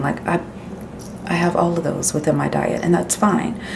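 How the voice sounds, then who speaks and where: A woman whispers over noticeable background noise, with audible room echo. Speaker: lifestyle vlogger. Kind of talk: casual vlog. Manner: whispering.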